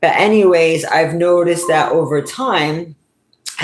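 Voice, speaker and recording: In a New England accent, a woman speaks at a very slow pace. Her pitch shows ordinary variation. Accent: New England, often mistaken for New York. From New England, US. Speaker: YouTuber and commentator. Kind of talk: casual vlog monologue.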